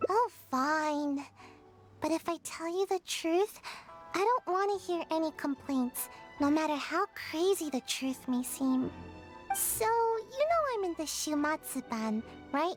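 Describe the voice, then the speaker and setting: Clear music plays in the background as a high-pitched put-on character voice moves at a fairly slow pace with long, frequent pauses. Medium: video game. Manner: hesitant, stammering, sighing.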